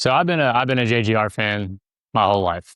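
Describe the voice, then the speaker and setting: Talking at a very fast pace in a Kentucky accent, the speaker has a bright, sharp tone and ordinary pitch variation, with a dry, close sound with no echo and a quiet background. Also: man. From Pittsburgh, Pennsylvania. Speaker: podcast guest, racing fan. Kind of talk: casual chat. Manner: animated.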